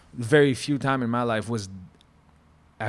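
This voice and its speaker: A man with a French Canadian accent, medium in pitch, with ordinary pitch variation and a fairly slow pace. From Quebec. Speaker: former chef. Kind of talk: casual chat. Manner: animated.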